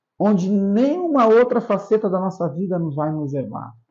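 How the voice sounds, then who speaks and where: A man's high-pitched voice with lively intonation. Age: 60s. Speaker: pastor. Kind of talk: interview. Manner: halting, repeats words.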